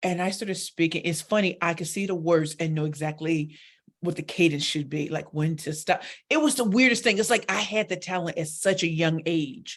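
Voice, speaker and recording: With an American accent and an animated tone, a woman speaks at a fairly quick pace in a fairly low pitch. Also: ordinary pitch variation. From US Midwest, St. Louis, Missouri. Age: 40s. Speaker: professional speaker and pitch coach. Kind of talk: interview on a live internet radio show.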